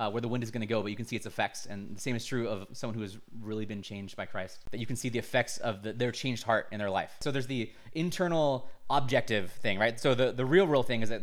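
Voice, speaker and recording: A man talks at a very fast pace. His pitch is medium with ordinary variation. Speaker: bible college graduate, ministry worker. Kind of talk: casual interview.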